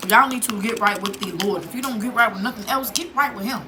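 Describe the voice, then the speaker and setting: Loud, very fast speech comes through with audible room echo and noticeable background noise. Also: woman. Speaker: vlogger. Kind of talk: casual vlog chat.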